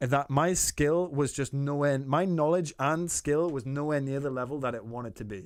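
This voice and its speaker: A very clean recording with a silent background and ordinary pitch variation. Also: man. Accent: Geordie. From Newcastle, northern England. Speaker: artist streamer giving feedback. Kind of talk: live stream chat.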